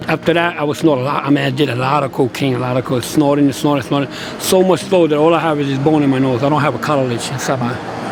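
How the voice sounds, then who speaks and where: Over noticeable background noise, a man with a fairly high pitch talks very fast with fairly even intonation and hardly any pauses. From US, New York (the Bronx). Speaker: former prisoner in recovery. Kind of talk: testimony.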